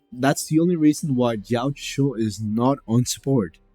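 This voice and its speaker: Music plays behind a man speaking at a fairly slow pace. His pitch varies in an ordinary way. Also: dry, close sound with no echo. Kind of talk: casual gaming commentary.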